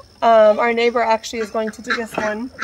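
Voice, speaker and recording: A woman talks at a moderate pace. Loud background noise runs underneath. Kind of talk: casual vlog chat. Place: farm machine. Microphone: earbuds.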